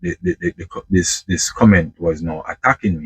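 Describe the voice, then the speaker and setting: A man speaks with a Jamaican accent. The sound is dry and close, with no echo. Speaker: truck driver vlogger. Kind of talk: casual monologue vlog. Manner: halting, many repetitions.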